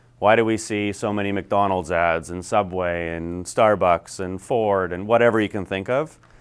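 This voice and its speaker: The man's voice sits fairly low. His intonation is fairly even. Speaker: business coach. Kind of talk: lecture. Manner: fast.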